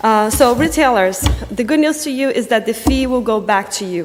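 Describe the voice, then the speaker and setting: A woman with a high voice and lively intonation speaks at a moderate pace over noticeable background noise. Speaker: local activist at public hearing. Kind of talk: public comment at town hearing.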